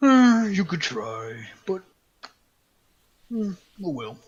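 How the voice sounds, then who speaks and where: A man's high-pitched, put-on character voice with very wide pitch swings. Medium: actual play. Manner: smug, mocking.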